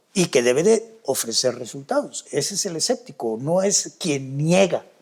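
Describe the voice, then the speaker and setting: At a fairly slow pace, a man with a fairly high pitch talks with very wide pitch swings. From Mexico, Yucatán (Mérida). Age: 70s. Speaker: skeptic investigator of UFO claims. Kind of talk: interview conversation. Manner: halting, frequent fillers and repetitions.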